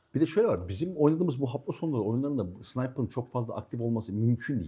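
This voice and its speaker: A man's dark, mellow voice sits at a medium pitch, somewhat breathy and marked by very wide pitch swings. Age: 50s. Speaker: airsoft team captain. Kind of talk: casual chat.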